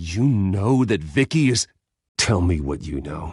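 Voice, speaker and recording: A man puts on a growling character voice, very deep and low, with very wide pitch swings at a fairly slow pace. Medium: video game. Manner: tense, guarded.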